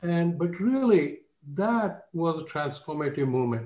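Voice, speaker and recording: A man's somewhat breathy, dark, mellow voice at a fairly slow pace, with ordinary pitch variation, audible room echo and a quiet background. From India. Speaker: finance professor. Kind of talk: panel speech. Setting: video call. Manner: humble. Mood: reflective, grateful. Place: home room. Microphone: video call.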